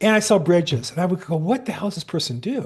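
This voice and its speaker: There's a quiet background behind this man. He talks at a very fast pace with lively intonation. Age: 60s. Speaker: real estate agent. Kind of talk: webinar class.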